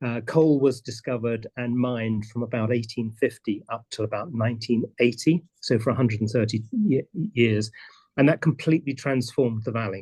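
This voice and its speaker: At a fairly quick pace, a man speaks in a somewhat breathy, dark, mellow tone at medium pitch. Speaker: presenter on community land stewardship. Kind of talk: conference presentation. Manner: halting, many repetitions.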